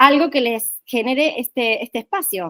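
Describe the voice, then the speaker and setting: A woman speaks in a Málaga Andalusian accent at a fairly high pitch with ordinary pitch variation. Her pace is fairly slow, and the sound is dry and close with no echo. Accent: sounds Málaga Andalusian. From Argentina, Córdoba. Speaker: workshop trainer. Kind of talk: online training session.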